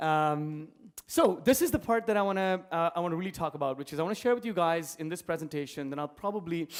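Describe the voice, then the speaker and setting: Speaking very fast with an Indian accent and ordinary pitch variation, the voice comes through on a very clean recording with a silent background. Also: man, high pitch for a man. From India, Mumbai. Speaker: entrepreneur. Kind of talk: conference talk. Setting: stage with audience.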